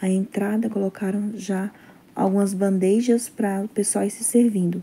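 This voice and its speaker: A woman speaks with a Brazilian accent at medium pitch. Her pace is moderate and her intonation fairly even. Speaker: vlogger. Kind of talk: casual vlog narration. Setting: church hall event. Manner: cheerful, chatty, warm. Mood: low energy, not feeling well. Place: home room. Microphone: phone near.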